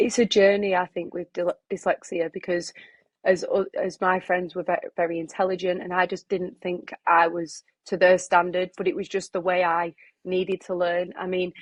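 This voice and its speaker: The delivery is monotone and flat, at a moderate pace. The sound is dry and close, with no echo. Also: woman, medium pitch for a woman. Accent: Lancashire. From Preston, northern England. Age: 20s. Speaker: runner and health worker. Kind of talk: podcast interview.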